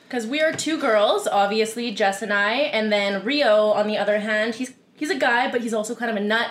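Against noticeable background noise, a woman talks at a fairly quick pace with hardly any pauses. Her pitch is fairly high. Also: ordinary pitch variation. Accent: Canadian. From Canada, Winnipeg, Manitoba. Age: 20s. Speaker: podcast co-host. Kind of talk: casual chat.

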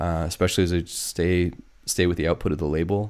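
A Western Canadian accent comes through on a very clean recording with a silent background. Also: man. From northern British Columbia, Canada. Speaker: techno DJ and producer. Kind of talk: casual chat.

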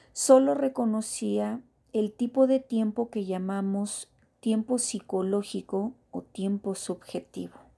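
The voice moves at a very slow pace, dark and mellow in tone, with ordinary pitch variation. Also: woman, fairly high pitch for a woman. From Mexico. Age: 30s. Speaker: podcast host. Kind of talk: personal reflective monologue.

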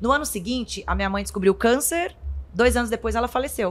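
Her pitch high and its variation ordinary, a woman talks. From Brazil, interior of Goiás. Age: 30s. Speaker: nutritionist and influencer. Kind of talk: casual interview chat.

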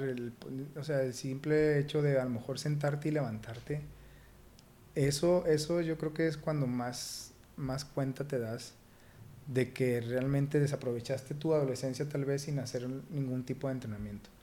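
Dark and mellow in tone, a man speaks with fairly even intonation. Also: medium pitch for a man, moderate pace. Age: 30s. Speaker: fitness coach and former pro footballer. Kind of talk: casual interview. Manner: halting, many repetitions.

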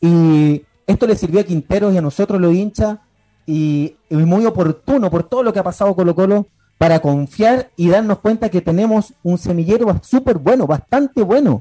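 A man with a high pitch and a dark, mellow tone talks at a moderate pace and very even loudness, the sound dry and close with no echo. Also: ordinary pitch variation. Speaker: sports radio panelist. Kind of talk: casual sports talk. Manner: animated.

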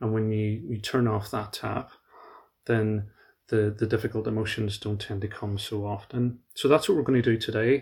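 In a very clean recording with a silent background, a man talks in a somewhat breathy voice with fairly even intonation. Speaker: meditation guide. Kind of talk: guided meditation. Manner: slow, calm, soothing; gentle, with long pauses.

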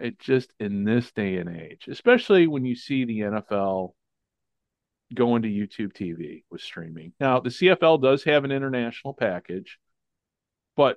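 With an American accent, a man talks at a moderate pace and medium pitch. He has a plain, everyday voice with lively intonation. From US Midwest, Chicago area. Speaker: podcast host. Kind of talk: casual chat. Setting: remote call.

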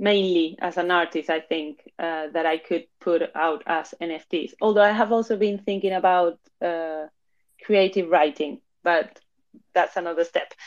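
Against a quiet background, a woman speaks at a fairly slow pace in a Spanish accent. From Spain (Madrid), born in Argentina. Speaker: NFT platform founder and curator. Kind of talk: casual chat. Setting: live audio room.

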